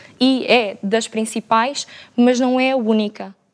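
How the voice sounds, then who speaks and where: A woman speaks with fairly even intonation. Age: 20s. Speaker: student and interpreter. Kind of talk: panel debate.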